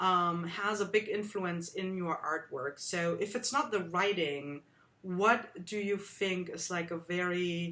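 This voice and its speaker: Speaking very slowly with a slight German accent, a woman at medium pitch has a bright, sharp tone and ordinary pitch variation. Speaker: art workshop host. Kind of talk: interview.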